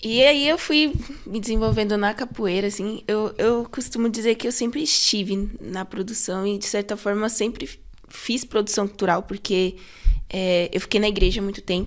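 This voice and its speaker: A woman speaks in a normal speaking voice at a fairly high pitch. Her pace is moderate, with ordinary pitch variation. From São Paulo Zona Sul, Brazil. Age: 20s. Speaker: cultural producer and singer. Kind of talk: casual podcast interview. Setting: studio.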